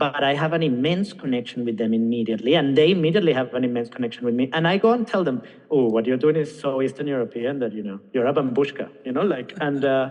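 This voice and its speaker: A man at medium pitch with ordinary pitch variation and a Venezuelan accent, talking at a very fast pace with hardly any pauses. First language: Spanish. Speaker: singer, actor and film director. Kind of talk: podcast interview. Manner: halting, with many fillers and restarts.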